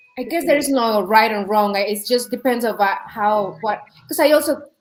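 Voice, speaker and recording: A woman's fairly high voice with a strong non-native accent. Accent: thick foreign. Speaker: real estate agent. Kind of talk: casual chat. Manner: halting.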